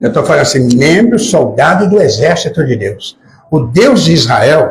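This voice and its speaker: The speaker is a man with a somewhat breathy voice. His intonation is lively. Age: 80s+. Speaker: preacher. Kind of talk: sermon. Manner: animated.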